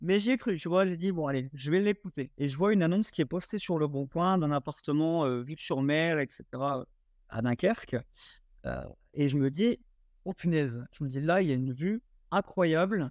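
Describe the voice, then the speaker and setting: Over a quiet background with a dry, close sound and no echo, the speaker delivers an animated tone with lively intonation at a moderate pace. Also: man, fairly high pitch for a man. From eastern France. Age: 20s. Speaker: short-term rental investor. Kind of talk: podcast interview. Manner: animated storytelling.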